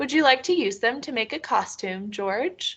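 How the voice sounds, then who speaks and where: A put-on character voice with a warm, gentle tone moves at a moderate pace. The background is quiet. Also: woman. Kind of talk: bedtime story. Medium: read story.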